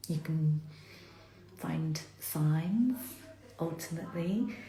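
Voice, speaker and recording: A woman's very deep, low voice carries audible room echo. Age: middle-aged. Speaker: self-development vlogger. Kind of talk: casual reflective monologue. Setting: live stream on social media. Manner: deliberately slow.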